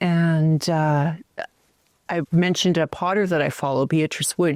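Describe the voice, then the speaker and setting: An unremarkable speaking voice with a Canadian accent and ordinary pitch variation, in a very clean recording with a silent background and a dry, close sound with no echo. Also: woman. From Canada, northern Alberta. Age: 60s. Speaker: potter. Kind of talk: casual chat.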